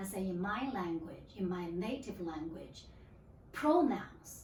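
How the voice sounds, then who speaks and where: A woman with a Chinese accent speaks at a very slow pace, with audible room echo. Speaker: library regional manager. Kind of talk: interview. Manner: halting.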